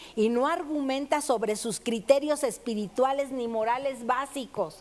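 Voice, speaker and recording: Woman with a high pitch, ordinary pitch variation, and a fairly slow pace. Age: 60s. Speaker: preacher. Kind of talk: sermon.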